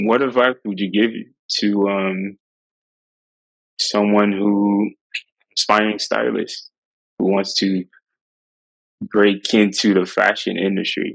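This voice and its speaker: A man speaks very slowly in a monotone, flat voice with long, frequent pauses. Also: fairly low pitch for a man. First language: French. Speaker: interviewer. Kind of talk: interview conversation.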